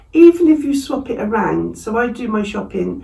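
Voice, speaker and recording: A voice with an English accent is heard with audible room echo. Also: woman. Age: 60s. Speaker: vlogger. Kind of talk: casual vlog talk. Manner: conversational, with fillers.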